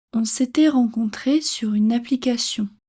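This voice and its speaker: A woman's fairly high voice with a dark, mellow tone, very slow pace and ordinary pitch variation. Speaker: French teacher. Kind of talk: reading aloud; tutorial. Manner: clear.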